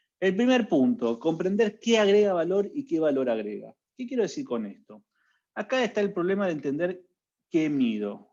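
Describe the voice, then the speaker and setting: With an Argentine accent, a man with a high pitch and a dark, mellow tone talks at a moderate pace through very wide pitch swings. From Argentina. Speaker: HR analytics consultant. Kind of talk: webinar talk.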